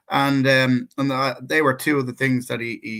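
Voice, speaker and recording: At a fairly quick pace, a man speaks with a medium pitch. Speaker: co-host, natural healer. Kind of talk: personal testimony in casual chat. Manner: halting, many repeated words.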